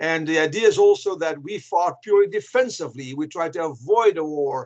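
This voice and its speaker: In a Flemish accent, a man talks at a moderate pace with ordinary pitch variation. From Belgium (Flanders). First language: Flemish (Dutch). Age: old. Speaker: historian and author. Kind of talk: interview.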